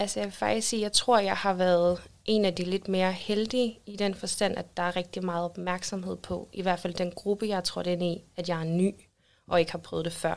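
In a very clean recording with a silent background, a woman with an ordinary speaking voice talks at a moderate pace, her medium pitch following a fairly even intonation. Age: 20s. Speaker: social worker. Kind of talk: casual interview. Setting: studio.

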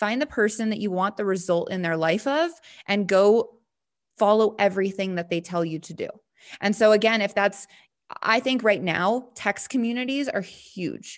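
A woman with an American accent uses an ordinary speaking voice at a medium pitch, moderate pace, and ordinary pitch variation against a quiet background. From Montana. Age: 20s. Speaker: network marketing entrepreneur. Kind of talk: interview.

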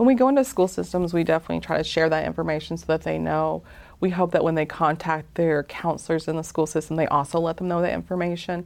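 Against a quiet background, a woman with an American accent talks very fast. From US South, north Georgia Appalachians. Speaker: mental health advocate. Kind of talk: interview.

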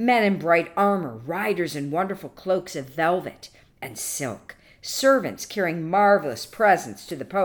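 A natural voice reading aloud

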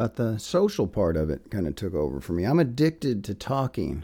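Vocal fry and a dark, mellow tone with very wide pitch swings at a fairly quick pace. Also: man. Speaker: English professor. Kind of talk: personal monologue. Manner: relaxed, with frequent fillers.

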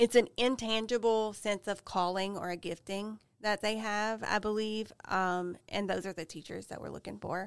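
A woman in a Louisiana accent talks at a moderate pace with hardly any pauses, medium pitch, fairly even intonation and big swings in loudness, on a very clean recording with a silent background. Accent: Louisiana Southern. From Louisiana, Avoyelles Parish. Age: 40s. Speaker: school principal. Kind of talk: casual interview. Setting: studio.

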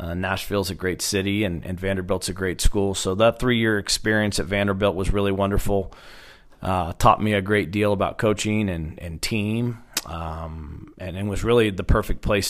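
A man with an American accent and a normal speaking voice talks at a fairly low pitch and a moderate pace with fairly even intonation, on a very clean recording with a silent background. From Oklahoma, Stillwater. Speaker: college baseball head coach. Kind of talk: interview.

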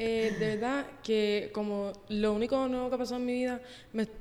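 Against noticeable background noise, a woman with a fairly high pitch talks at a fairly quick pace with fairly even intonation. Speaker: host's younger sister. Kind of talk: casual chat. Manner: soft-spoken.

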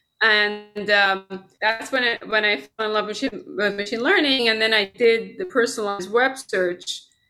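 There is music in the background as a woman talks at a moderate pace with a fairly high pitch and ordinary pitch variation. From Iran. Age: 50s. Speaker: computer science professor. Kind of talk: casual interview.

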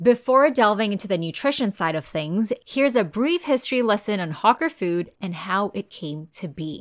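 A woman speaks at a medium pitch with very wide pitch swings and hardly any pauses. The recording is very clean, with a silent background. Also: moderate pace. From Singapore. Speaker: nutritionist podcast host. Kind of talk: solo educational podcast. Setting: bedroom, mic surrounded by pillows.

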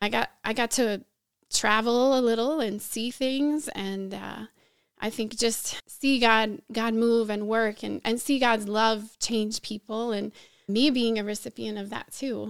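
A woman speaks in a plain, everyday voice at a fairly slow pace. Her pitch is fairly high and her intonation fairly even. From US Northeast, suburban Philadelphia. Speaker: pastor. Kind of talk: interview testimony.

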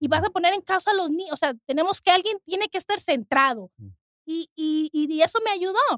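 In a Mexican accent, a woman speaks at an extremely high pitch with ordinary pitch variation, in a dry, close sound with no echo. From Mexico. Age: 40s. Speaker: kidney transplant recipient. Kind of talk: testimony.

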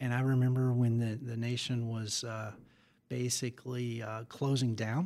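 A man with an American accent has an unremarkable speaking voice at medium pitch. His intonation is fairly even and his pace moderate. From Southern California. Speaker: agriculture business lawyer. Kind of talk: interview.

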